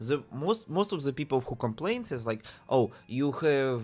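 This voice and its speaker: This voice has a Russian accent. It moves at a fairly slow pace. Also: man. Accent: Russian accent, noticeable. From Russia (Siberia). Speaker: indie game developer streamer. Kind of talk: casual live-stream chat while coding. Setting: live stream. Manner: halting, repeats words. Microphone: new microphone with audio interface.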